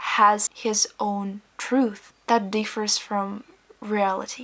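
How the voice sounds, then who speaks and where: With a Ukrainian accent, a woman speaks at a medium pitch in a monotone, flat intonation. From Ukraine. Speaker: vlogger. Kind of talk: personal vlog monologue.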